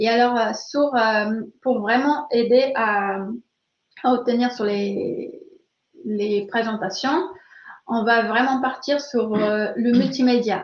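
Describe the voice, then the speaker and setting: Her intonation fairly even, a woman delivers her words at a very slow pace. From Brazil. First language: Portuguese (speaking French). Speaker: learning expert, webinar speaker. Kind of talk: webinar Q&A. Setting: online webinar. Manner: hesitant, many fillers.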